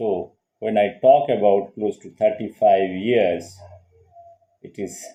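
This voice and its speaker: With a Bengali accent, a man speaks very slowly in a fairly low pitch and a dark, mellow tone, his intonation fairly even, his loudness swinging widely, and long pauses coming often. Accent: Indian English, Bengali. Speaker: psychologist and channel host. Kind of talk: casual lecture monologue.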